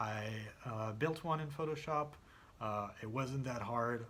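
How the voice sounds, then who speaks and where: Fairly slow pace, ordinary pitch variation and light background noise. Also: man. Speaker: video editor making tutorials. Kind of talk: tutorial. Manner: halting, many fillers. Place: home room.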